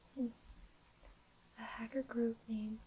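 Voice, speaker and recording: A soft-spoken woman whispers at a moderate pace. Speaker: ASMR creator. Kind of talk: ASMR fact reading. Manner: soft-spoken, whispered.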